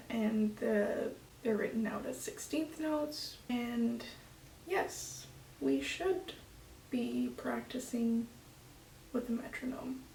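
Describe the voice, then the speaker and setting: In a recording with audible room echo and noticeable background noise, a soft-spoken woman talks at a very slow pace with long, frequent pauses. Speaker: flutist vlogger. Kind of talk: casual vlog talk to camera.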